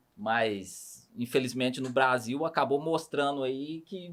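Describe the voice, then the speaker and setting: A man in a Minas Gerais accent, medium in pitch, at a fairly slow pace, with ordinary pitch variation. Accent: Minas Gerais (mineiro). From Brazil, Barretos (São Paulo state) and a small town. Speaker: podcast host. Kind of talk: casual interview chat.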